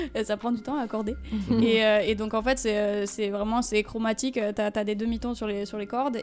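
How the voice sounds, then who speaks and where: Music runs in the background. Over it, a woman speaks at a fairly high pitch with monotone, flat intonation. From France. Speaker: singer. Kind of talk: interview answer. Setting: radio studio.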